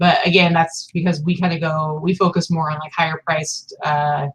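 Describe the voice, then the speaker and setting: In a normal speaking voice, a woman talks at a moderate pace with fairly even intonation. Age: 30s. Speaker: online reseller and video host. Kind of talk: casual chat.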